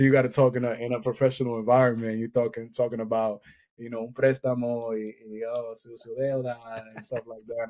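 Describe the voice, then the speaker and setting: Speaking at a fairly quick pace in an American accent, a man has a medium-pitched, dark, mellow voice with big swings in loudness. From Boston. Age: 30s. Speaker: poet. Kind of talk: casual chat.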